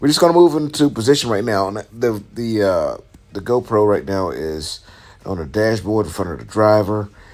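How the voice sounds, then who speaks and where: A man speaks with lively intonation. His pitch is fairly low. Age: 50s. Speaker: truck driver and trainer. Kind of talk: tutorial voice-over. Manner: fast; hesitant, many fillers.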